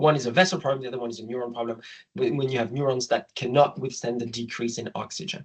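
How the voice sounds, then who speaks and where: A man with a French accent, a fairly high pitch, and a somewhat breathy sound. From France. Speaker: obstetrician. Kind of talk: lecture.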